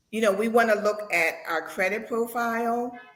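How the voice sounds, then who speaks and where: The delivery is fairly slow. An audible echo from the room is present. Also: woman. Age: 60s. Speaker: real estate agent. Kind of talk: interview.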